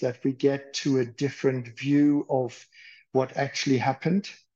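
A man speaks with a German accent at a fairly slow pace. His pitch sits fairly high. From Germany, rural. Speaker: psychiatrist. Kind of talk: interview.

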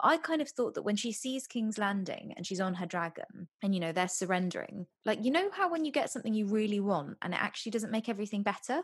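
Her voice comes out somewhat breathy. This woman speaks very fast. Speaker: podcast co-host. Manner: casual, chatty.

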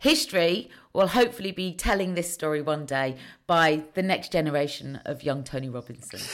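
In a very clean recording with a silent background, a woman with a very deep, low voice speaks at a fairly quick pace in a British accent, her intonation lively. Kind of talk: casual interview chat.

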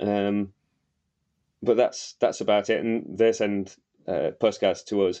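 With a Yorkshire accent, a man speaks at a fairly slow pace. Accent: Wakefield Yorkshire, noticeable. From Wakefield, West Yorkshire, England. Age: 40s. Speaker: novelist. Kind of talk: casual chat.

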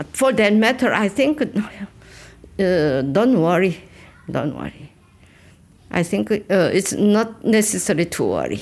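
Speaking at a very slow pace, a woman with a medium pitch and vocal fry uses lively intonation. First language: Korean (speaking Dutch). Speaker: museum guide. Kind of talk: guided tour interview.

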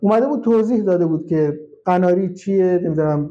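A man speaking at a fairly quick pace, with ordinary pitch variation. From Iran, Khuzestan (Shush). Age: 30s. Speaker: hackintosh specialist. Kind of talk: casual interview. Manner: halting.

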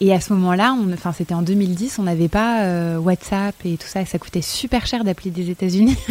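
A woman with a normal speaking voice at medium pitch, moderate pace, hardly any pauses and ordinary pitch variation. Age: 20s. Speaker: former model, actress and author. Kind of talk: casual chat. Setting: live stream.

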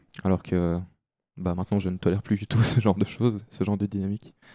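In a very clean recording with a silent background and a dry, close sound with no echo, a man with a very deep, low pitch and a dark, mellow tone speaks at a moderate pace. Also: long, frequent pauses. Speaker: podcast guest sharing life story. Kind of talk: personal testimony. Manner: hesitant, many fillers.

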